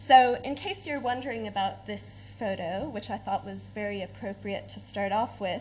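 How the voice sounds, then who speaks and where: With an American accent, a woman talks at a moderate speed. Her voice carries audible room echo. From United States. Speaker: academic researcher. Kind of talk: conference talk.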